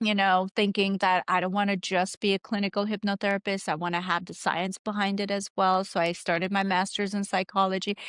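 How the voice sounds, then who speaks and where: The intonation is monotone and flat, at a moderate pace. The recording is very clean with a silent background, and the sound is dry and close with no echo. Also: woman. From Armenia. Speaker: hypnotherapist. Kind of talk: interview.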